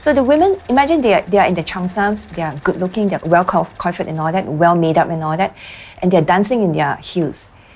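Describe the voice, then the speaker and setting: Noticeable noise sits in the background. The talking is very fast. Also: woman. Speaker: writer. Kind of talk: interview.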